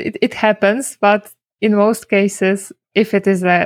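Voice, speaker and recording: A woman is speaking. She has a Polish accent. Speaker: SEO consultant. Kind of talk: casual interview.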